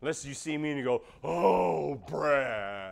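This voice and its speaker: Loud and animated in tone, a man speaks at a fairly high pitch. His pace is fairly slow. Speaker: pastor. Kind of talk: sermon.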